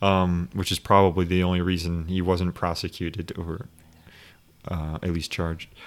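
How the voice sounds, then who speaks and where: The speech has monotone, flat intonation at a moderate pace. The recording is very clean, with a silent background. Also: man, very deep, low pitch for a man. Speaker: podcast host. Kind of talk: casual chat.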